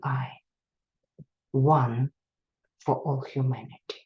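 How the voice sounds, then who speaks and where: In a Russian accent, a woman speaks at a very slow pace with a very deep, low pitch. Her tone is dark and mellow, and somewhat breathy. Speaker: psychotherapist. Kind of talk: lecture. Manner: halting.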